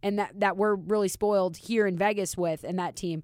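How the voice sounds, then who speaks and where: A plain, everyday voice, a woman's at medium pitch and a fairly quick pace, in a very clean recording with a silent background. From Minnesota. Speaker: hockey reporter. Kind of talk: casual chat.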